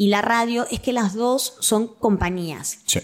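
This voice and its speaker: Over noticeable background noise, a woman with a Rioplatense accent talks at a fairly slow pace with lively intonation. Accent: Argentine Rioplatense Spanish. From Argentina, Quilmes. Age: 20s. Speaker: actress, voice-over artist and comedian. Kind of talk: casual interview chat.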